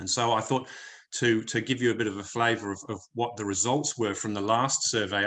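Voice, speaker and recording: Against a quiet background, a man talks at a moderate pace. His medium-pitched voice has a bright, sharp tone. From United Kingdom. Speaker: health and wellness consultant. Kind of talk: presentation to business audience. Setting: online video meeting. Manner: hesitant, many fillers and repetitions.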